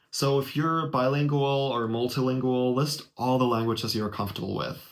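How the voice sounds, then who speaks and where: The speaker has a German accent and a fairly quick pace. Intonation stays fairly even. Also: man. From Germany. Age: 20s. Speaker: YouTuber. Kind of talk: tutorial. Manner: casual. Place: home room. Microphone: webcam.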